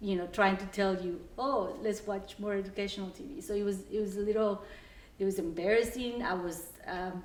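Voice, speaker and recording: A woman with a Salvadoran accent at a moderate pace and medium pitch, with ordinary pitch variation, audible room echo, and noticeable background noise. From El Salvador. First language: Spanish. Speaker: mortgage operations worker. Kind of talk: documentary interview, casual storytelling. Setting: at home, house tour. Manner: hesitant, many fillers.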